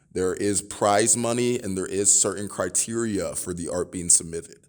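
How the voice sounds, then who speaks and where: A normal speaking voice from a man with an American accent: fairly low pitch, fairly even intonation, moderate pace, very clean recording and silent background. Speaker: student podcast host. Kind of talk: podcast interview.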